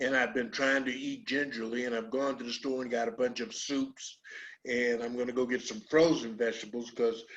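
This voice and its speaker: A man's medium-pitched voice at a fairly quick pace, with monotone, flat intonation. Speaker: talk show host. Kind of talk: casual interview. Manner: halting, many fillers.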